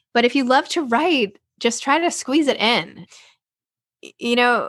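A woman's normal speaking voice with lively intonation at a moderate pace, over a quiet background. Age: 40s. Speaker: podcast host and author. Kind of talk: interview.

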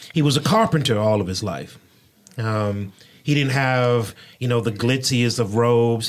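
A plain, everyday voice at a moderate pace. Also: man. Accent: American. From Houston, Texas (Third Ward). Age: 40s. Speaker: pastor and podcast host. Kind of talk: casual interview chat. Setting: studio.

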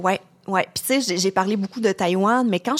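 Her voice carries ordinary pitch variation. The sound is dry and close, without any echo. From Quebec, Lac-Saint-Jean. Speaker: travel journalist. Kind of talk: interview. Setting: studio.

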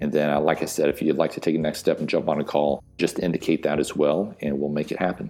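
Over music in the background, a man with a very deep, low voice talks very fast in a flat monotone. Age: 40s. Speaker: franchise consultant. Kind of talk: sponsored segment.

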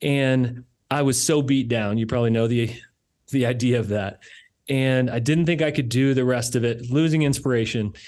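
This man speaks at medium pitch and a moderate pace, his loudness very even throughout. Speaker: podcast host. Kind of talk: interview intro and conversation. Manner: animated, enthusiastic.

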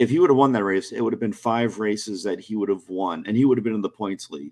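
With an American accent, a man speaks in an ordinary speaking voice at a fairly low pitch with ordinary pitch variation, on a very clean recording with a silent background. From US South, near New Orleans. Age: 30s. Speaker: motorsports writer. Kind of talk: casual chat.

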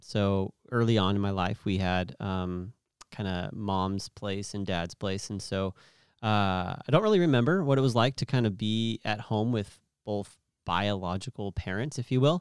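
In a very clean recording with a silent background and a dry, close sound with no echo, a man with an American accent speaks at a moderate pace in a fairly low pitch with ordinary pitch variation, an unremarkable speaking voice. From California Central Valley (Merced). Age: 30s. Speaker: youth pastor. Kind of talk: casual interview chat. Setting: studio.

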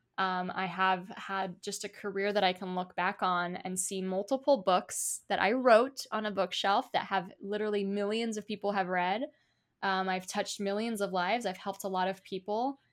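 In a very clean recording with a silent background, a plain, everyday voice speaks at a moderate pace with fairly even intonation. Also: woman, medium pitch for a woman. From US, Polish immigrant family. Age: 30s. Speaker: author. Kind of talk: interview.

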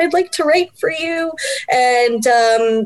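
A woman's put-on character voice, squeaky and high-pitched, at a very slow pace. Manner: shy, nervous.

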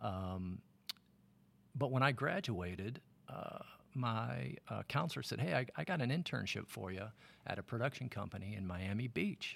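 A fairly low-pitched man with an American accent, vocal fry, very wide pitch swings, and long, frequent pauses. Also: moderate pace. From Michigan, outside Detroit. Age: 50s. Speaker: film camera assistant (focus puller). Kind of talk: casual interview. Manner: hesitant, many fillers.

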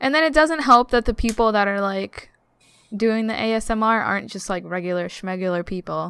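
A woman with a normal speaking voice talks at a fairly quick pace, her fairly high pitch moving with ordinary variation, on a very clean recording with a silent background. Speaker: podcast guest. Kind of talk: casual chat.

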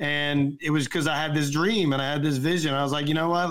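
Here a man speaks at a fairly high pitch with fairly even intonation. The recording is very clean with a silent background. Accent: Southern US. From US South. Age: 40s. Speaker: film producer and actor. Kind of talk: casual chat.

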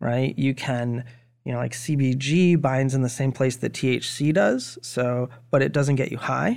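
A man speaks with an American accent in an unremarkable speaking voice. His pitch is medium and his intonation fairly even. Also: moderate pace. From Maine, US. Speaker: cannabis investor. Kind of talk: casual chat.

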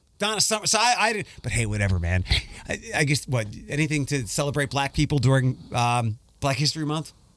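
At a fairly quick pace, a man speaks at a fairly high pitch with very wide pitch swings. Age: 40s. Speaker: podcast host. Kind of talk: casual chat. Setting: studio.

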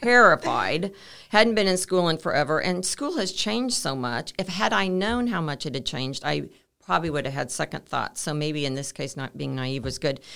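Bright and sharp in tone, the voice swings very widely in pitch over a silent background in a very clean recording. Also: woman, very deep, low pitch for a woman, moderate pace. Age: 60s. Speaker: entrepreneur, co-working space founder. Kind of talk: casual interview.

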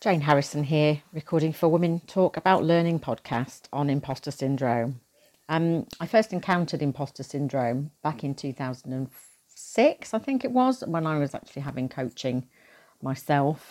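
This woman has a very deep, low pitch and a dark, mellow tone, with ordinary pitch variation. She talks at a moderate pace on a very clean recording with a silent background. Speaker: learning professional. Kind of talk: recorded personal reflection.

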